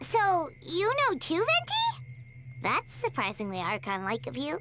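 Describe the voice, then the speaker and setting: Over loud background noise, a woman uses a cartoonish character voice at a moderate pace. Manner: chirpy, excitable.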